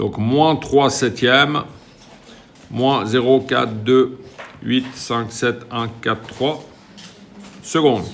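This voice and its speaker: A man's medium-pitched voice at a very slow pace, with ordinary pitch variation, audible room echo and noticeable background noise. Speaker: physics teacher. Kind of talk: lecture. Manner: casual.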